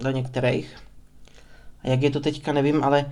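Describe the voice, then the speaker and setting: Through audible room echo, a man talks at a moderate pace in a medium pitch with monotone, flat intonation. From Czech Republic, Prostějov (Moravia). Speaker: podcaster. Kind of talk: unscripted monologue. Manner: rambling, talkative.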